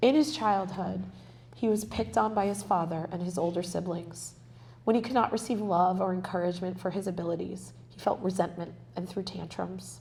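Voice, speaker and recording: Audible room echo surrounds a woman speaking at a fairly quick pace with big swings in loudness. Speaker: author and spiritual healer. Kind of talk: reading aloud. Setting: library event with live audience.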